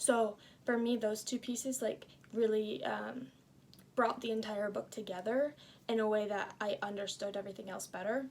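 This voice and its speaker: Here is a woman with an ordinary speaking voice and a fairly high pitch. She speaks at a moderate pace with fairly even intonation. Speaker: student. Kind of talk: casual book review. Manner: casual with many fillers.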